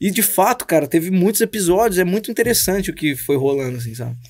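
A man talks at a very fast pace, his pitch high for a man. The recording is very clean, with a silent background. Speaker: pastor and musician. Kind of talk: casual chat. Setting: studio. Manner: slangy, informal.

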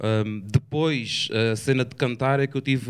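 The speaker is a man with an ordinary speaking voice. He talks at a medium pitch with fairly even intonation. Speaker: rapper. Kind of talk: casual chat.

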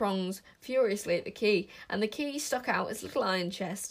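This is an unforced reading voice. Its intonation is lively.

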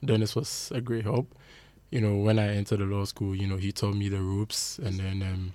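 Fairly low in pitch, a man's voice carries a dark, mellow tone. He keeps a fairly quick pace with fairly even intonation. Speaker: lawyer co-host.

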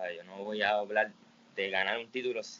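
This man has a fairly low pitch and speaks at a moderate pace. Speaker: musician and songwriter. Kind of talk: casual interview. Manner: halting, many fillers.

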